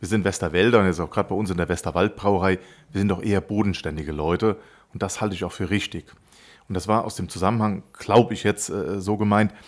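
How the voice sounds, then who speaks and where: Very fast speech with fairly even intonation on a very clean recording with a silent background. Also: man, fairly low pitch for a man. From Germany, Westerwald (Rhineland-Palatinate). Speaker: brewery managing director. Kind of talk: casual interview.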